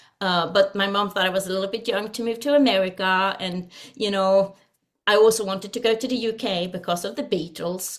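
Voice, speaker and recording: A woman speaks with a Swedish accent at a moderate pace. Her pitch is medium, with ordinary pitch variation. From Sweden. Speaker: singer and vocal coach. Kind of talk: interview. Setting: video call.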